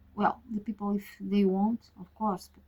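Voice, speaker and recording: The voice has a dark, mellow tone, sounds somewhat breathy, and carries a Portuguese accent. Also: woman. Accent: Portuguese-speaking, non-native English. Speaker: tarot reader. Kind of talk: casual monologue. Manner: halting, many fillers.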